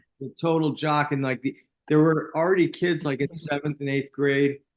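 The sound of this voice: A man speaks at a moderate pace with a fairly high pitch. His pitch moves only a little.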